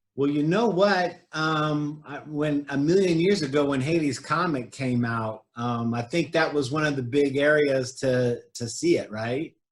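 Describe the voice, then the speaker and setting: A plain, everyday voice with an American accent moves at a fairly slow pace with hardly any pauses. The pitch variation is ordinary. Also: man, fairly high pitch for a man. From California. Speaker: realtor and show host. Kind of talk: interview.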